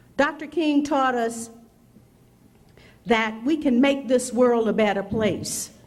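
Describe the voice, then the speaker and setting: Audible room echo surrounds a woman speaking at a fairly slow pace. Her fairly high pitch shows ordinary variation. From Mississippi. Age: 60s. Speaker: prosecutor, keynote speaker. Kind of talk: speech.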